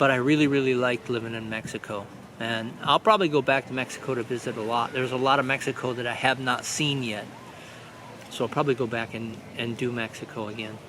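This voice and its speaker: With a Midwestern American accent, the speaker talks at a fairly quick pace in a fairly even intonation over noticeable background noise. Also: man. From Michigan, near Detroit. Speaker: vlogger. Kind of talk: casual vlog monologue. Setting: outdoors on a beach.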